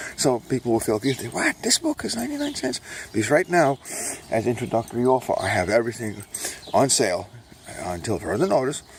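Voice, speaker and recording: Noticeable background noise sits under the recording. A man talks at a very fast pace. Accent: American. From New York, Brooklyn. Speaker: self-published author and vlogger. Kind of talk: casual monologue while walking. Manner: speaking low; rambling with fillers.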